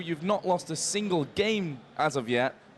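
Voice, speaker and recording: Noticeable noise fills the background while a man talks in a high voice. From England. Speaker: stage host interviewer. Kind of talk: on-stage interview. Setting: stage at convention event.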